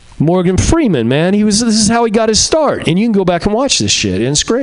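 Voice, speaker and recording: Over noticeable background noise, a man speaks at a high pitch and a fairly quick pace with lively intonation. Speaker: comedian. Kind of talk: stand-up. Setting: stage with audience. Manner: halting.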